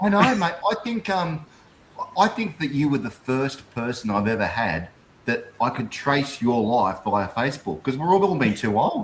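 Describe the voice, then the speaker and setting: With an Australian accent, a man talks at a moderate pace in a fairly high pitch. His pitch swings very widely, and background noise is noticeable. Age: 50s. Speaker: livestream host. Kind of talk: livestream interview, casual chat.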